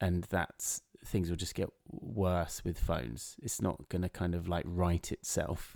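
A man with an English accent speaks at a fairly slow pace in a dark, mellow tone. The recording is very clean with a silent background, its sound dry and close with no echo. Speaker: podcast co-host, content creator. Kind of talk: casual chat. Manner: loud.

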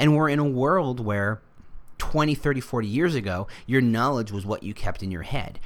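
Using a normal speaking voice, a man speaks at a medium pitch and moderate speed, his intonation lively. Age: 40s. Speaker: podcast host, recruitment marketer. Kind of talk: solo podcast monologue. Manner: casual, with frequent fillers.

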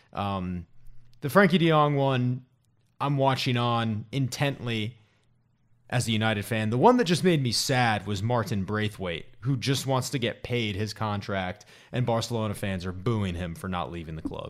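A man with a plain, everyday voice speaks at medium pitch and a moderate pace, with lively intonation. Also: very clean recording, silent background. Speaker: podcast co-host. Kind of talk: comedic sports banter, mock-announcer intro.

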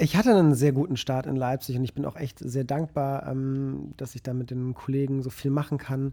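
A man's medium-pitched voice, dark and mellow in tone, at a moderate pace with hardly any pauses. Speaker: podcast co-host, photographer. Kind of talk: casual chat.

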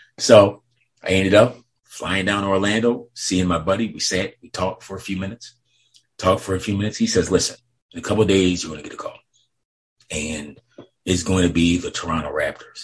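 A man with an American accent talks at a fairly quick pace, leaving long, frequent pauses. His loudness swings a lot. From upstate New York. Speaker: former pro basketball team security officer. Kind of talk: interview, storytelling.

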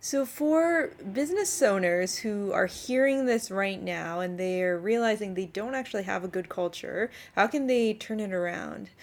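Her voice a normal speaking voice, a woman talks at a moderate pace and medium pitch with lively intonation. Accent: Canadian. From Canada. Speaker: podcast host. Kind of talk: casual interview chat.

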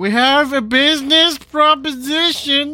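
Raising and projecting his voice, a man performs a put-on character voice at an extremely high pitch and a fairly slow pace, with faint music behind him.

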